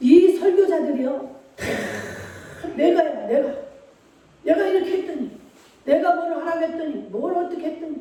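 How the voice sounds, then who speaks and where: Someone talks fairly slowly while noticeable background noise carries on underneath. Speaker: pastor. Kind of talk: sermon. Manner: loud, raised voice at times.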